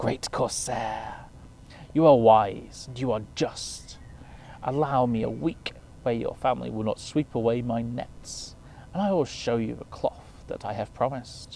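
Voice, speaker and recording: Over clear background noise and hissing, a man does a put-on character voice at a moderate pace and medium pitch. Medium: read story.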